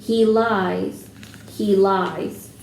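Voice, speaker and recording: A woman's put-on character voice at medium pitch, with slight echo and light background noise. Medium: read story.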